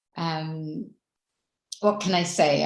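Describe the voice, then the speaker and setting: A woman's fairly even intonation comes through in a somewhat breathy voice. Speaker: spiritual teacher. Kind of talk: spiritual talk.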